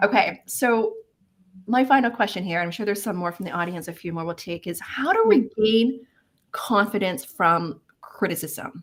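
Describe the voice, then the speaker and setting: Breathy in part, a woman speaks in an animated tone with lively intonation. Her loudness swings widely. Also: medium pitch for a woman, moderate pace. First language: not English. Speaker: career coach, live event host. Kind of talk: live webinar discussion.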